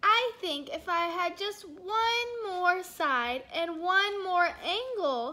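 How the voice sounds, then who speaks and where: A woman's put-on character voice at an extremely high pitch, very slow pace and lively intonation. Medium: read story. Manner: grumbling.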